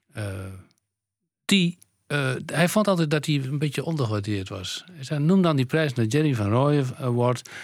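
Using lively intonation, a man of medium pitch talks at a moderate pace. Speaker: composer and bandleader. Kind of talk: interview. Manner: halting.

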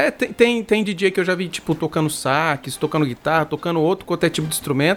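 Speaking at a fairly quick pace with hardly any pauses, a man talks in a high pitch. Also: ordinary pitch variation. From Brazil, Mato Grosso do Sul. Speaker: bass player and channel host. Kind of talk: casual interview. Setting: live stream.

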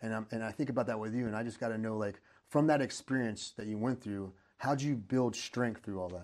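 Fairly quick and fairly even in intonation, a man talks at a medium pitch in an unremarkable speaking voice. The background is quiet. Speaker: podcast host. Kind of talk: interview.

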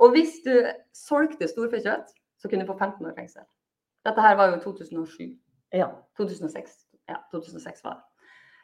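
A woman of medium pitch with vocal fry and lively intonation speaks at a fairly slow pace, leaving long, frequent pauses. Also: big swings in loudness. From Norway, Molde. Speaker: high school Spanish and PE teacher. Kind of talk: interview.

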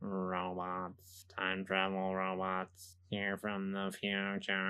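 A man in a put-on character voice speaks very slowly at a very deep, low pitch, his intonation monotone and flat. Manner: mechanical.

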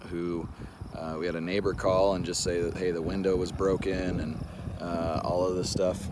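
A man's very deep, low voice in monotone, flat intonation at a moderate pace, with noticeable background noise. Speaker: healthcare business owner making a video. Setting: in a car, video recorded outdoors. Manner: casual, rambling with many fillers.

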